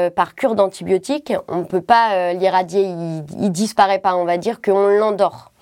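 On a very clean recording with a silent background, a woman uses a normal speaking voice at medium pitch. She talks at a fairly slow pace with ordinary pitch variation. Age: 30s. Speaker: cystic fibrosis patient. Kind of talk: testimony.

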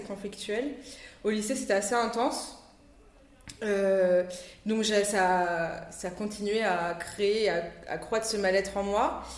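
This woman's voice sits at a medium pitch. She keeps her intonation fairly even. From Réunion (Saint-Denis), from age 8. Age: 20s. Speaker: entrepreneur, shop owner. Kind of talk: casual interview. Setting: at her shop.

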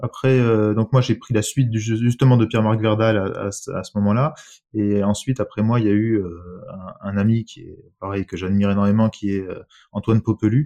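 Over a quiet background, a man speaks at a fairly quick pace with a dark, mellow tone and fairly low pitch. His intonation is fairly even, while his loudness swings widely. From France, moved around, Bordeaux from 15. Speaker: dentist. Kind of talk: casual interview.

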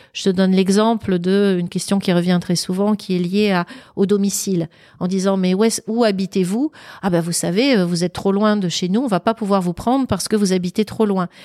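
A woman talks at a moderate pace in a medium pitch, her tone dark and mellow and her intonation fairly even. The recording is very clean, dry and close, with no echo and a silent background. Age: 50s. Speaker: public speaker and former recruiter. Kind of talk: casual interview. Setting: at her home.

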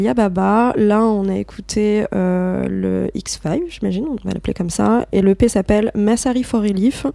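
Against noticeable background noise, a woman speaks at a very slow pace in a medium pitch with ordinary pitch variation. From Morocco, Rabat. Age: 20s. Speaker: DJ and artist manager. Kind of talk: casual interview. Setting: at home.

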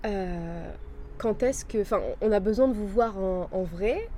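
Lively intonation carries a voice at a moderate pace over noticeable background noise. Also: woman. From Marseille, raised abroad. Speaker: life coach. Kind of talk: interview.

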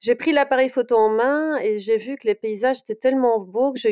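A woman speaks at a high pitch with a slight Belgian accent and ordinary pitch variation. The sound is dry and close, with no echo. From Belgium, Brussels. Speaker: portrait photographer. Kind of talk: interview.

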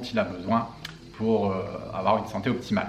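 Amid noticeable background noise and audible room echo, a man at medium pitch speaks at a moderate pace with fairly even intonation. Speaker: health and fitness coach. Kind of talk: Q&A video monologue. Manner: casual, halting with fillers.

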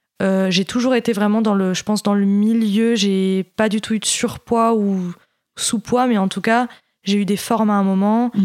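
A woman speaks at a fairly slow pace in a medium pitch. Her intonation is monotone and flat, and her loudness stays very even. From Paris region, France. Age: 20s. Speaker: eating disorder survivor. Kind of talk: testimony. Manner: halting.

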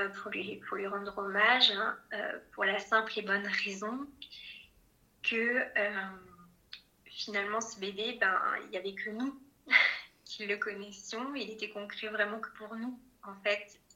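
The speech is very slow with long, frequent pauses, monotone and flat in intonation, bright and sharp in tone, with big swings in loudness. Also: woman, fairly high pitch for a woman. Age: 30s. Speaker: bereaved mother sharing her story. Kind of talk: testimony.

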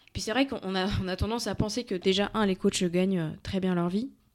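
Fairly even intonation in a female voice of medium pitch. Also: very clean recording, silent background. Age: 30s. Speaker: fitness coach and entrepreneur. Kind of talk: interview.

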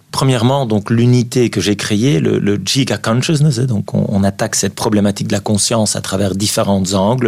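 A moderate pace with ordinary pitch variation. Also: man. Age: 50s. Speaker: neurologist and author. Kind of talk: radio interview. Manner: halting with frequent repetitions.

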